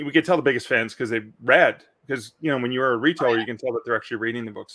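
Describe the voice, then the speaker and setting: In a quiet background, a man with a Canadian accent speaks in a bright, sharp tone with ordinary pitch variation. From Canada. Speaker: author and publishing podcast host; publishing podcast host. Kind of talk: live Q&A stream. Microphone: studio mic.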